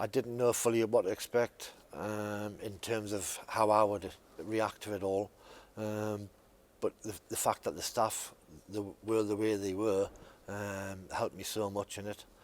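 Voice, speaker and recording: A man speaks at a fairly slow pace and fairly low pitch, with monotone, flat intonation. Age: 50s. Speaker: former patient. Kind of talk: testimony. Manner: halting, many fillers.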